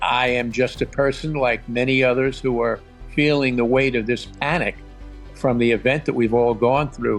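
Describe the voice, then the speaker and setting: Music plays in the background behind a man's medium-pitched voice. He talks at a moderate pace. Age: 70s. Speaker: retired financial advisor, Airbnb host. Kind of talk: interview answer.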